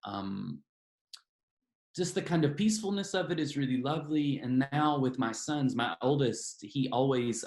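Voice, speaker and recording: A man with a Southern US accent talks with lively intonation. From US South. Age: 40s. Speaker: novelist. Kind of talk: interview. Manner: hesitant, many fillers.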